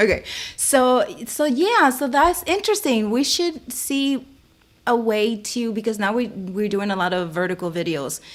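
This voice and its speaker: Loud and fairly high-pitched, a woman speaks at a moderate pace with very wide pitch swings. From Dominican Republic. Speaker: live stream co-host. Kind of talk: live stream tutorial chat. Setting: live stream. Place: home room. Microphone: mic far from her; studio mic.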